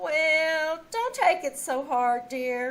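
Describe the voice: Using a put-on character voice, a woman speaks at a very slow pace and a high pitch, with lively intonation and a fairly bright tone.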